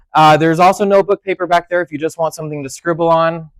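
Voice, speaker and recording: A loud man at a fairly quick pace, with a dry, close sound and no echo. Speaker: technology instructor. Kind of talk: seminar lecture. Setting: classroom with audience. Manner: soft-spoken; speaking loudly on purpose.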